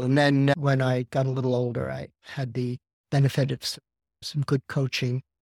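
On a very clean recording with a silent background and a dry, close sound with no echo, a man speaks at a medium pitch and moderate pace in a monotone, flat intonation. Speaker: physical therapy client. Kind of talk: casual interview chat.

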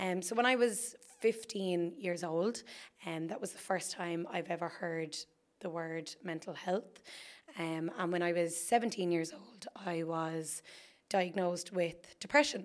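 A woman speaks in an Irish accent at a fairly slow pace. Her pitch is fairly low, with ordinary pitch variation. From Ireland, County Wexford. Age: 20s. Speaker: podcast host. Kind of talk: solo monologue.

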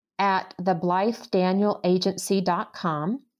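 An ordinary speaking voice with an American accent, at a fairly slow pace, on a very clean recording with a silent background. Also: woman. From US South. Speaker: literary agent. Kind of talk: interview on writing.

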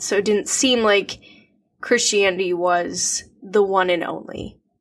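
A woman with an Upper Midwest accent, medium pitch and ordinary pitch variation. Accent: Upper Midwest American. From US Midwest, Minnesota (Twin Cities suburbs). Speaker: podcast co-host. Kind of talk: casual chat. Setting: remote call.

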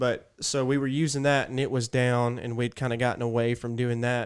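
On a very clean recording with a silent background, a man with an Alabama accent speaks fairly quickly at a medium pitch in a flat monotone. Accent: Southern US (Alabama). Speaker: podcast co-host. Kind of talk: casual chat. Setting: studio.

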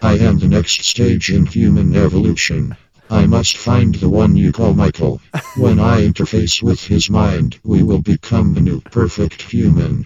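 Put-on character voice from a man, pitched fairly low, delivered at a moderate pace. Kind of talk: comic sci-fi sketch.

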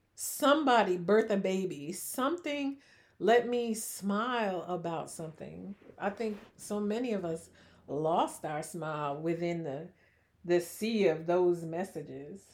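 Soft-spoken and lively in intonation, a woman talks at medium pitch and a fairly slow pace. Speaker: podcast co-host. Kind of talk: casual chat.

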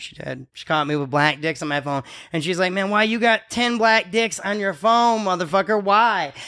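With lively intonation, a man speaks in a raised, projected voice at a high pitch. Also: moderate pace. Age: 40s. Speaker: comedian and podcast host, military veteran. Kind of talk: casual comedic chat. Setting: strip club venue.

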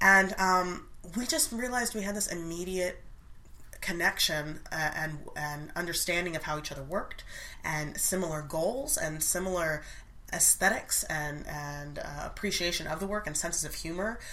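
Her voice is fairly low, with a bright, sharp tone and ordinary pitch variation. The woman speaks at a moderate pace amid audible room echo. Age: 30s. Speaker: actress and dialect coach. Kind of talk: casual chat.

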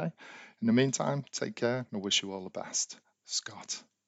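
With ordinary pitch variation, this man delivers his words at a moderate tempo. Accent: British. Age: 40s. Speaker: podcast host, life coach. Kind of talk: monologue podcast, advice.

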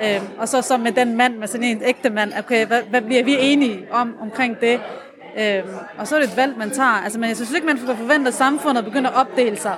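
A fairly quick, high-pitched woman's voice with audible room echo and crowd noise behind it. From Aarhus, Denmark. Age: 30s. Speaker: café patron, lab technician. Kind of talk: casual interview. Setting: café.

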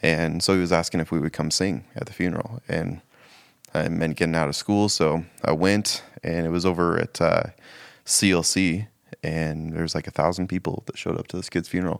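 A man with an American accent speaks at a fairly quick pace. His pitch is very deep and low, and his intonation is fairly even. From Spokane, Washington. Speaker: church staff member. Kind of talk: casual chat.

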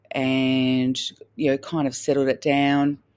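A woman speaks with an Australian accent at a fairly slow pace. Her pitch is very deep and low. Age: 40s. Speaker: doctor of Chinese medicine. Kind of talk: testimony.

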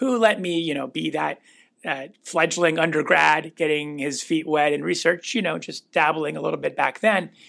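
On a very clean recording with a silent background, a man with an American accent speaks at a moderate pace in a fairly high, bright, sharp voice with vocal fry and ordinary pitch variation. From US Pacific Northwest (Renton, Washington). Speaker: cardiologist. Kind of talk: casual interview.

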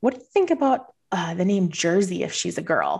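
A woman's medium-pitched voice with an American accent, ordinary pitch variation and moderate pace, an unremarkable speaking voice over a quiet background. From Southern Minnesota. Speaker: financial advisor. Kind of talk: interview.

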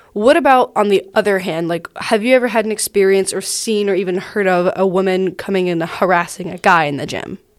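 A woman with an unremarkable speaking voice, a medium pitch, a fairly quick pace and hardly any pauses. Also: ordinary pitch variation. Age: 20s. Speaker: podcast host. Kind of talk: casual chat.

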